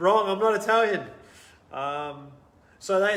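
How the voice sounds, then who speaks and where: A man with an Australian accent at a moderate pace, amid noticeable background noise and audible room echo. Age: 40s. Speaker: entrepreneur. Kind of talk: interview. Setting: live video stream. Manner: animated.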